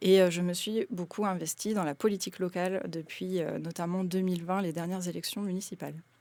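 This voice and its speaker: In a very clean recording with a silent background, a woman speaks at a medium pitch with fairly even intonation and a dark, mellow tone. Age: 30s. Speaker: sociologist and municipal candidate. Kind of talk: radio interview. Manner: hesitant, many fillers.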